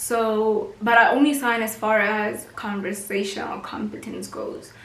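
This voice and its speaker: A woman with a Botswana accent speaks at a fairly slow pace in a fairly high voice, her intonation fairly even but her loudness swinging widely, over noticeable background noise. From South Africa, North West Province. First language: Setswana. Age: 20s. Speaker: YouTuber and university student. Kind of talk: casual vlog monologue.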